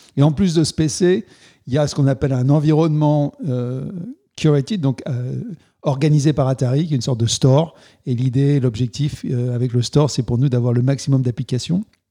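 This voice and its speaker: This is a man's voice with a dark, mellow tone. His pitch varies in an ordinary way. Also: moderate pace. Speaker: video game company CEO. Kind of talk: interview. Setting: office.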